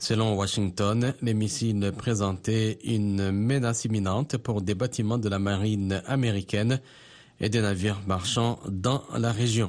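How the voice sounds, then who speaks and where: A man's unremarkable speaking voice, fairly low in pitch and fairly slow, with very even loudness, fairly even intonation and a quiet background. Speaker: news anchor. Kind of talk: news reading. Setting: studio. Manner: formal; measured.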